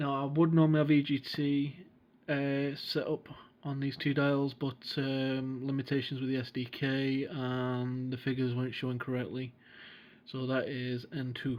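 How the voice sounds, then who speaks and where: With a British accent, a man speaks at medium pitch in a monotone with flat intonation. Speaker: flight sim gamer and tutorial maker. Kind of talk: tutorial. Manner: casual, hesitant with fillers. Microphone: recorded on a phone.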